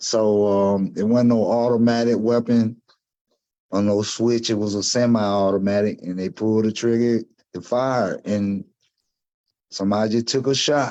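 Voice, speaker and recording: A man's fairly low voice at a moderate pace, in a Southern US accent. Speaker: gun violence survivor. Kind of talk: interview testimony. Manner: halting, with repetitions.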